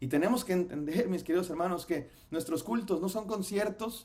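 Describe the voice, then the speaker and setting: Noticeable background noise accompanies a man speaking at a moderate pace in a high pitch with ordinary pitch variation. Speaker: pastor. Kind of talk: sermon-style lecture. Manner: stumbles over words.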